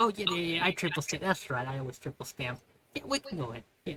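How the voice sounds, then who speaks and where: This is a put-on character voice pitched in the middle range. It rattles along at a very fast pace. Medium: actual play. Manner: earnest, rule-minded.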